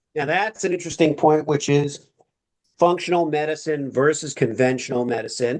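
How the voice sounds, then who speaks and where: A man in a plain, everyday voice, fairly high in pitch, with ordinary pitch variation and a moderate pace. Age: 50s. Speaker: podcast host. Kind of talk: podcast interview.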